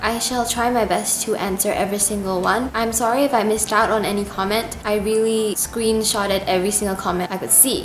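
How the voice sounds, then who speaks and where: A woman's fairly high voice at a fairly quick pace, with audible room echo and music in the background. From Indonesia. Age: 20s. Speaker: YouTube cover singer. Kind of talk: casual Q&A vlog.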